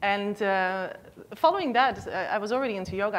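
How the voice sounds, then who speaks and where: Her intonation lively, a woman speaks. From Netherlands. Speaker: yoga teacher. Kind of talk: talk to an audience.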